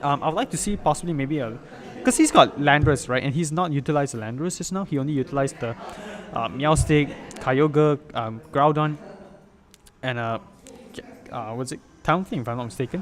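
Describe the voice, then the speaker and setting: There is noticeable background noise behind a man speaking at a fairly quick pace. He leaves long, frequent pauses, and his pitch varies in an ordinary way. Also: fairly high pitch for a man. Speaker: esports commentator. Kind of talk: live commentary. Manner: fast; animated.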